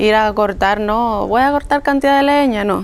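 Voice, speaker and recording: A woman with a Cuban accent speaks at a moderate pace. Her fairly high voice has lively intonation. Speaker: vlogger. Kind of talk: casual talk to camera.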